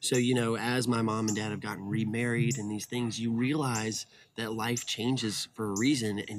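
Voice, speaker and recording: A man speaks at a fairly quick pace with a Southern US accent, his pitch medium. The recording is very clean, with a silent background. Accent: Southern US (Georgia). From US South, Atlanta, Georgia. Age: 30s. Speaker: casting director. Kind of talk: casual interview chat. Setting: outdoors at home.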